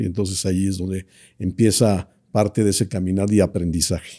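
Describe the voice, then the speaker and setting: In a very clean recording with a silent background and a dry, close sound with no echo, a man speaks at a fairly low pitch with a dark, mellow tone and fairly even intonation. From Mexico, Monterrey (Nuevo León). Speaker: business association leader. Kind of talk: interview. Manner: hesitant, many fillers.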